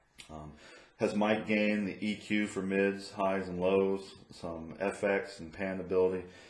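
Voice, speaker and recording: This man has a fairly low pitch and fairly even intonation. The recording carries audible room echo. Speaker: podcaster. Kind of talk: tutorial. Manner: hesitant, many ums. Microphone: USB condenser mic with room echo.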